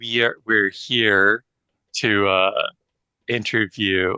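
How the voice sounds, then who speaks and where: Using a put-on character voice, a man speaks at a very slow pace with a fairly low pitch over a quiet background. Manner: quiet, soothing.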